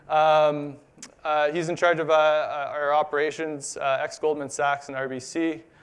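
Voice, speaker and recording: The speaker has a Canadian accent and a moderate pace. The intonation is monotone and flat. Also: man, fairly high pitch for a man. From Canada. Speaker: conference speaker, business development at bitcoin mining company. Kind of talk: conference talk. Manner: halting, many fillers.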